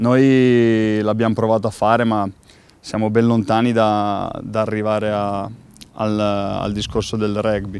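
The recording is dry, with no echo. A man speaks at a moderate pace. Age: 30s. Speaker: professional footballer. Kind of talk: interview. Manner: halting, with many repeated words. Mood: calm, thoughtful. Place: stadium.

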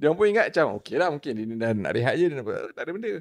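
The pace is very fast, with very wide pitch swings against a quiet background. A man speaks in a high voice. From Malaysia. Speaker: trail runner, podcast guest; podcast guest. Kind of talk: casual chat. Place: studio. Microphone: studio mic.

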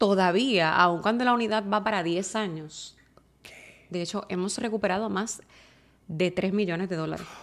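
Speaking at a moderate pace, a woman with a medium pitch shows ordinary pitch variation and big swings in loudness. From Puerto Rico. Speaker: TV news reporter. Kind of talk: interview conversation. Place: studio. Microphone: studio mic.

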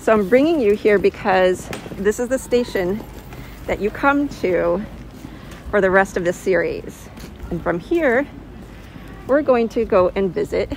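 A woman speaks at a fairly slow pace with lively intonation. The sound is dry with no echo, with light background noise. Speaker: tour guide vlogger. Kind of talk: casual walking tour commentary. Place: street. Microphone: phone near.

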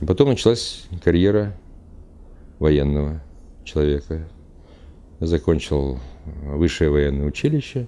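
A man speaks with a very deep, low pitch and a dark, mellow tone. His delivery has long, frequent pauses. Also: ordinary pitch variation, fairly slow pace. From Uzbekistan. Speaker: traveler, retired military officer. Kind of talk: interview monologue; interview answer. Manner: halting. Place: studio.

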